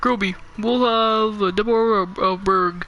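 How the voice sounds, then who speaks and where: The speaker uses a put-on character voice. The pitch is fairly high. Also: moderate pace. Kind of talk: kid gamer reading game dialogue. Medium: game stream. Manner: laid-back, joking.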